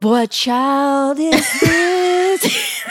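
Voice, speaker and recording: A high-pitched, put-on character voice is heard over faint music in the background. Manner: announcer-style delivery.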